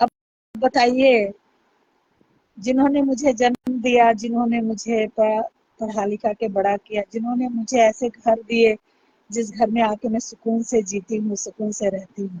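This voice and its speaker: A woman's voice has a dark, mellow tone and monotone, flat intonation. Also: dry, close sound with no echo. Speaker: YouTube livestreamer. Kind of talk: live stream talk to viewers. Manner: loud.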